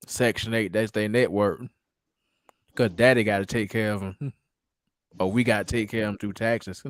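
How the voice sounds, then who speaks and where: At a moderate pace with long, frequent pauses, a man speaks at a fairly low pitch with fairly even intonation, in a dry, close sound with no echo. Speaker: caller. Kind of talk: casual chat.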